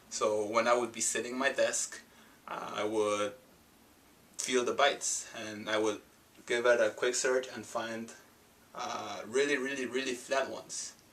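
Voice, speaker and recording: A man talks at medium pitch in a monotone, flat delivery. He leaves long, frequent pauses, and there is noticeable background noise. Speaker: home remedy how-to presenter. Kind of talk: casual instructional talk. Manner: hesitant, filler-heavy.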